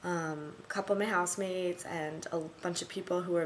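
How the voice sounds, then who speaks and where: A woman with an American accent speaks at a fairly low pitch. Her intonation is monotone and flat. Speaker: vlogger, study abroad student. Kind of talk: video diary. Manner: rambling with fillers.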